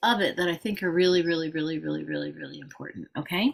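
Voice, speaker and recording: This woman's voice sits fairly low in pitch. Vocal fry runs through it. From England. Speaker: trauma therapist and practice group leader. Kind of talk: informal teaching talk to a practice group. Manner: casual, with many fillers.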